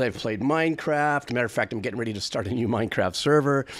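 A man at a medium pitch with lively intonation. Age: 60s. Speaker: music reaction streamer; music reaction youtuber. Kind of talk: casual monologue to camera; casual vlog chat. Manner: rambling, stream of consciousness. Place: home room. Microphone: studio mic.

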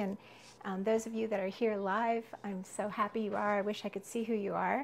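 Over light background noise, the voice moves at a moderate pace in a monotone, flat intonation. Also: woman. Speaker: herbal foraging teacher. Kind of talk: live class tutorial. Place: kitchen.

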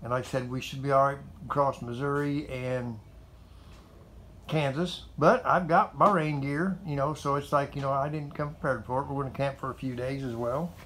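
A man talks at a moderate pace with fairly even intonation. Light background noise is present. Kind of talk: casual vlog chat. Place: garage. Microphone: phone near.

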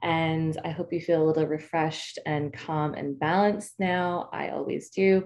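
A woman's plain, everyday voice, fairly low in pitch with ordinary pitch variation, at a fairly slow pace over a quiet background. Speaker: marketing speaker. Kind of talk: guided breathing meditation; webinar presentation. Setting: online summit session. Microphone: webcam.

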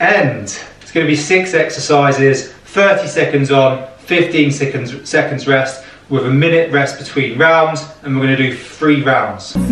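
There is audible room echo as a man talks with fairly even intonation. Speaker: fitness instructor. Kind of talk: workout tutorial intro. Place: home room. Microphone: camera far.

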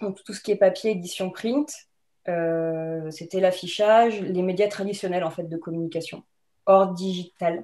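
A woman with a dark, mellow tone speaks fairly slowly against a quiet background, her pitch varying in an ordinary way. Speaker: wine museum communications professional; guest. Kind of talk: webinar talk about career path. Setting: video call. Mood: relaxed, friendly. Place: home room. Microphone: webcam.

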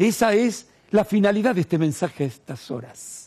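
A man's voice carries a dark, mellow tone. The background is quiet. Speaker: TV host. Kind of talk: TV interview show. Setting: studio. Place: studio. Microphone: headset.

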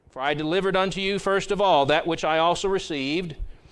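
The man's delivery comes at a fairly quick pace. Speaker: pastor. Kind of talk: sermon. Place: church.

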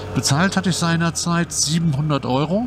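A man's fairly high-pitched voice with ordinary pitch variation over noticeable background noise. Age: 50s. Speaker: YouTuber, scooter rider. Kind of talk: casual vlog monologue. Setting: on a scooter ride outdoors. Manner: hesitant, many fillers.

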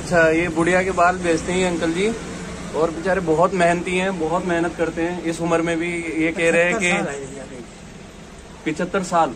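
A man's high-pitched voice at a fairly slow pace, monotone and flat, with noticeable background noise. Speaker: YouTube vlogger. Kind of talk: casual talk to camera. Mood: warm, admiring. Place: street. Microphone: phone near.

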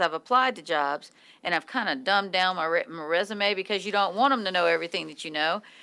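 At a fairly quick pace, a woman is talking. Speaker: radio show co-host. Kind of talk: radio talk show conversation. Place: studio. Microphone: studio mic.

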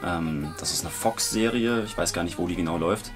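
Clear music plays behind the voice. The speaker is a man. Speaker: voice actor. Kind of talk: interview answer. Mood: relaxed, casual. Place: booth.

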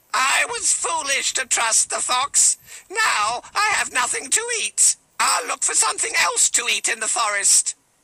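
At a moderate pace, a high-pitched, put-on character voice carries the lines. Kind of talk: bedtime story.

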